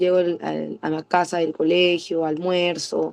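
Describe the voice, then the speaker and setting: A woman speaks with a fairly low pitch. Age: 20s. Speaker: preschool teacher. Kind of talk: interview. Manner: halting, many fillers and restarts.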